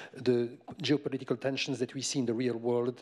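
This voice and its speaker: Over a quiet background, a man speaks. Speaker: tech company representative; speaker. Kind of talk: panel discussion. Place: stage. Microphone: handheld.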